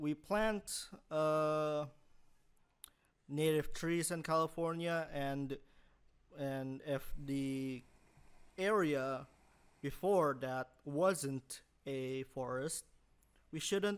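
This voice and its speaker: This man speaks at a very slow pace with long, frequent pauses, his fairly high pitch showing ordinary pitch variation. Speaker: student podcast host. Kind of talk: casual chat. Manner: halting.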